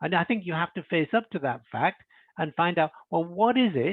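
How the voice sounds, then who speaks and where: A man speaks at a moderate pace in a high pitch. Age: 70s. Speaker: leadership author and webinar presenter. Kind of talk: webinar Q&A. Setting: online webinar. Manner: halting, many fillers and repetitions.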